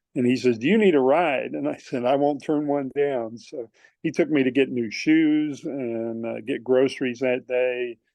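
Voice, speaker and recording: A man at a moderate pace, ordinary pitch variation throughout. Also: medium pitch for a man. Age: 60s. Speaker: long-distance hiker. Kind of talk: casual interview chat. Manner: halting, many fillers.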